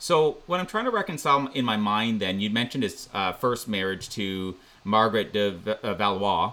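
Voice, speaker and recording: A man with a Canadian accent, fairly low in pitch and bright, sharp in tone, with lively intonation at a moderate pace. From Canada. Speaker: podcast host. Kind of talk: interview. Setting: video call. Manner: halting.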